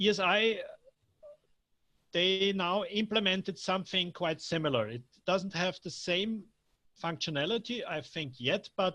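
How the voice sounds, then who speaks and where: The voice is raised and projected, with a bright, sharp tone and ordinary pitch variation. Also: man. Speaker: software developer giving a training. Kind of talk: technical training Q&A. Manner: halting, stuttering.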